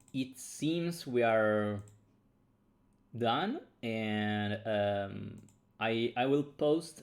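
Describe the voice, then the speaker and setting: A man speaks with an Italian accent. His pitch varies in an ordinary way. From Italy. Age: 30s. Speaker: game designer streamer. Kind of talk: casual livestream chat. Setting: livestream from home. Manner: halting with repetitions.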